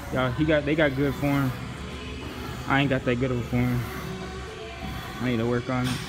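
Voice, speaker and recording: A man at a fairly quick pace, clear music playing behind him. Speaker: vlogger filming friends. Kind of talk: casual vlog chat. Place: gym. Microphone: phone near.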